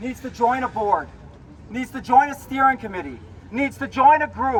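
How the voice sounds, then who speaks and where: Over noticeable background noise, a man with an American accent talks at a moderate pace in an extremely high voice, with ordinary pitch variation and big swings in loudness. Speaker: protest activist. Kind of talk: rally speech. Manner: emphatic.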